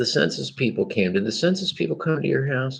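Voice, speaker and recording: A man's medium-pitched voice with vocal fry and very wide pitch swings at a moderate pace. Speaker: pastor. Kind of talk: casual spiritual monologue. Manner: soft-spoken; halting.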